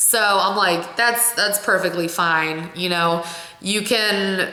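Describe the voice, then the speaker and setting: Very slow speech in an American accent, with fairly even intonation and very even loudness, plus audible room echo and noticeable background noise. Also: woman, medium pitch for a woman. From Ohio. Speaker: vlogger. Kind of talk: casual vlog talk. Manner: expressive.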